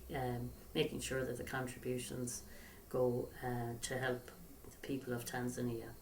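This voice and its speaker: A woman's very deep, low voice at a moderate pace, with audible room echo. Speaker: charity founder. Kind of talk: recorded appeal to camera. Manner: soft-spoken. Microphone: far from the mic.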